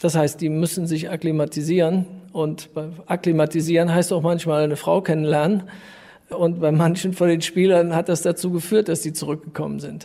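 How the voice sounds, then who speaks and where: In a high pitch, a man talks at a moderate pace with monotone, flat intonation. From Rhineland, Germany (Düren). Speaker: volleyball club co-owner. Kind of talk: interview.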